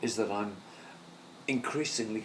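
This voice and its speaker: This man talks at a moderate pace, with audible room echo around his words. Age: 60s. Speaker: filmmaker's parent, retiree. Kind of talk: casual chat. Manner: halting.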